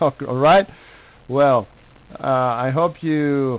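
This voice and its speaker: Speaking at a very slow pace with an Argentine accent, a man uses a fairly high pitch and fairly even intonation. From Argentina, Buenos Aires. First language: Spanish. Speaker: amateur radio operator. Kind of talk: ham radio contact. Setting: radio contact. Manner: halting.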